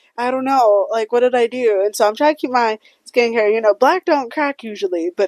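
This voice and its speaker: A woman's high, animated voice at a very fast pace, with ordinary pitch variation and a dry, close sound with no echo over a quiet background. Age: 20s. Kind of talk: casual chat.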